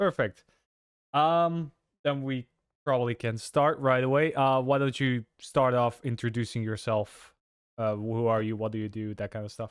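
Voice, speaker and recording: In a very clean recording with a silent background and a dry, close sound with no echo, a man with a non-native accent talks at a moderate pace and medium pitch, with ordinary pitch variation. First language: not English. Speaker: interviewer. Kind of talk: interview.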